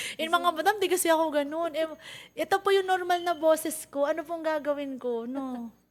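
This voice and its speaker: Her pitch extremely high, a woman speaks in an animated tone at a fairly quick pace with ordinary pitch variation. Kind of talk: casual chat; sales pitch.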